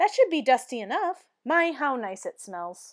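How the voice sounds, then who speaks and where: A woman performs a put-on character voice at a high pitch with very wide pitch swings. Her loudness swings widely while she keeps a moderate pace. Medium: read story. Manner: cheerful, earnest.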